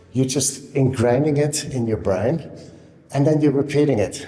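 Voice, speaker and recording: A quiet man's voice of medium pitch, at a moderate pace with ordinary pitch variation. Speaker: kettlebell coach. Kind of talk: tutorial. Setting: indoor room. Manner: quiet, subdued. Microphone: room echo.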